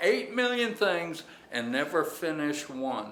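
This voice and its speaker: Amid noticeable background noise and audible room echo, a man with a high pitch talks at a very slow pace with very wide pitch swings. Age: 70s. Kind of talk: casual tour and chat. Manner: hesitant fillers.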